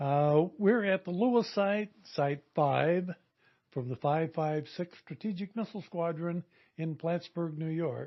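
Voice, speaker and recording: The speaker talks at a fairly slow pace. Pitch variation is ordinary. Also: man, high pitch for a man. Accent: American. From Colorado, Oklahoma and Idaho, US. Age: 70s. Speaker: Air Force veteran. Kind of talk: oral history interview. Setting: former missile site reunion.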